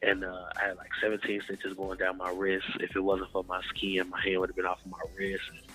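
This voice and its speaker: Over music in the background, a man with an American accent talks in a very deep, low, monotone, flat voice at a fairly quick pace, with hardly any pauses and big swings in loudness. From Chicago, US Midwest. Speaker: gospel recording artist. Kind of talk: interview. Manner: casual, with many fillers.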